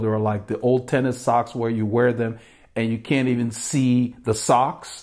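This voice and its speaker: A man speaks at a moderate pace with fairly even intonation against a quiet background. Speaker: cycling channel host. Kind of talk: product review talk. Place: home room.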